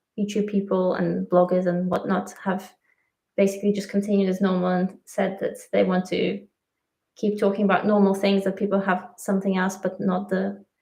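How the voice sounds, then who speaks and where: A woman with a Russian accent speaks at a moderate pace in a medium pitch. Her somewhat breathy voice keeps a monotone, flat intonation. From Latvia, Russian-speaking family. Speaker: YouTube travel vlogger. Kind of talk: livestream chat. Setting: livestream.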